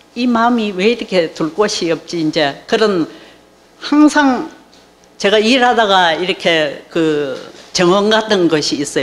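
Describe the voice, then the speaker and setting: Over noticeable background noise, a woman speaks very slowly at medium pitch, her voice swinging very widely in pitch. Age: 70s. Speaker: church member giving testimony. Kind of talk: testimony.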